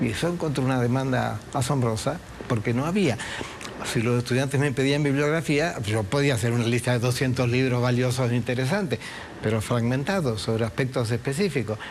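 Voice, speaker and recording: Noticeable background noise sits behind a man speaking at a fairly quick pace. His pitch is medium with ordinary variation, and his loudness stays very even. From Uruguay. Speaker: historian. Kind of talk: interview.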